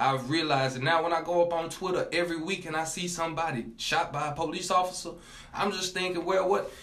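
A man talks at a very fast pace with a high pitch and fairly even intonation. There is noticeable background noise. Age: 20s. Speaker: college student. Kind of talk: casual chat.

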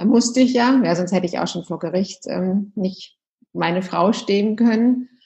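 The speaker is a woman with a medium-pitched voice. It sounds somewhat breathy. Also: ordinary pitch variation, moderate pace. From Munich, Bavaria, Germany. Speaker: yoga and meditation teacher, former lawyer. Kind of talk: casual interview.

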